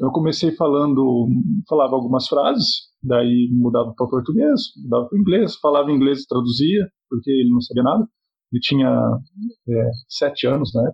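A man's somewhat breathy, medium-pitched voice at a moderate pace, with ordinary pitch variation and very even loudness. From southern Brazil, Paraná (Cascavel). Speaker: psychology professor and bilingualism researcher. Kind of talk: podcast interview.

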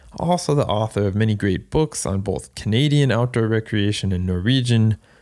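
A man with an American accent has an unremarkable speaking voice and fairly low pitch. He keeps a moderate pace with ordinary pitch variation. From Florida, US. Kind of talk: casual interview chat. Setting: remote video call.

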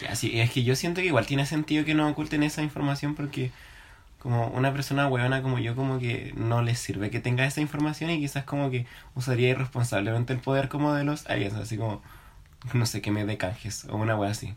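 A man with a Chilean accent talks at a very fast pace, his voice somewhat breathy. His pitch is medium, with ordinary pitch variation. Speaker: podcast co-host. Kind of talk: casual chat.

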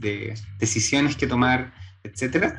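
A man at medium pitch, somewhat breathy, ordinary pitch variation, very slow pace. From Chile, Santiago. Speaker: chiropractor and entrepreneur. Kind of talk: interview conversation.

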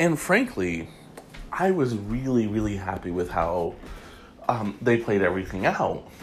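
With noticeable background noise behind him, a man speaks at a fairly slow pace with lively intonation and long, frequent pauses. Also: fairly low pitch for a man. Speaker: celebrity gossip podcast host. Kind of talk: solo casual commentary.

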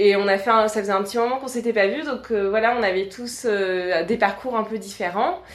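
Hardly any pauses break the speech of a woman with a fairly high pitch, who talks at a moderate pace with ordinary pitch variation over noticeable background noise. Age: 30s. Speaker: communication agency owner. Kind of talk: interview.

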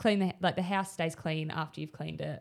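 On a very clean recording with a silent background, a woman with an Australian accent speaks at a very deep, low pitch with fairly even intonation. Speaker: podcast co-host. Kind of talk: casual chat.

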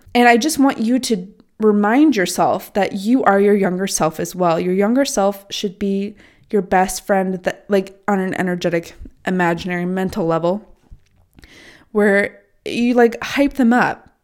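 Fairly slow delivery in an unremarkable speaking voice with ordinary pitch variation. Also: woman, medium pitch for a woman. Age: 20s. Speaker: self-development podcaster. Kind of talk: casual monologue. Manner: casual, filler-heavy.

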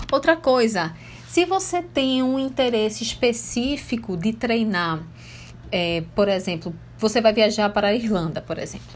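Her intonation lively and touched with vocal fry, a woman talks at a fairly slow pace. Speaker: English teacher. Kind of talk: tutorial.

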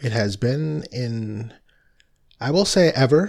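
Lively intonation carries a man's voice at a medium pitch. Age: 40s. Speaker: spiritual podcast host. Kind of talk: casual monologue. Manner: relaxed.

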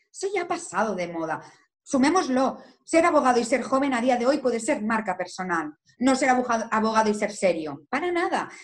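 With very wide pitch swings, a woman's high voice holds a moderate pace. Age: 20s. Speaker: lawyer. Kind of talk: interview. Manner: animated.

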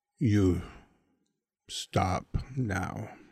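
A man uses a put-on character voice that is guttural and very deep and low in pitch. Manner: menacing.

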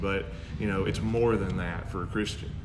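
Over noticeable background noise, a man with a Southern US accent speaks at a fairly low pitch. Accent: Southern American. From Arkansas, Arkadelphia. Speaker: pastor. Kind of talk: casual chat.

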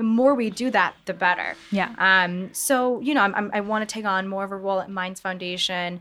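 Over a very clean recording with a silent background, a woman with an American accent and a plain, everyday voice talks at a fairly quick pace, her pitch medium and intonation fairly even. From US Midwest, Michigan. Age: 20s. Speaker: author and mental health coach. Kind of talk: interview. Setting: live audience at market venue.

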